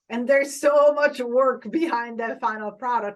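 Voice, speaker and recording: A woman's high-pitched, enthusiastic voice with an Italian accent. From Italy. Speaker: social media influencer and TV host. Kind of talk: podcast interview.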